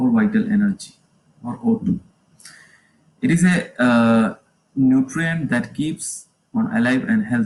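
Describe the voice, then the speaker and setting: Somewhat breathy, a man speaks at a fairly slow pace. His pitch swings very widely. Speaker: yoga teacher. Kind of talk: livestream lecture. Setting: live stream on Facebook. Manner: halting.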